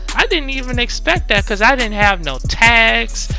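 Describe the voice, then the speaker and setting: Music plays in the background. Over it, a man talks with an American accent. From United States, Louisiana. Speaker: ASMR YouTuber. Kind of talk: casual talk to camera.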